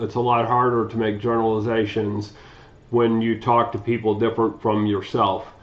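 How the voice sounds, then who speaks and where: A man with a Midwestern US accent, medium pitch and a fairly quick pace. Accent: US Midwest. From Ohio, Cleveland. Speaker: community advocate. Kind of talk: scripted testimony.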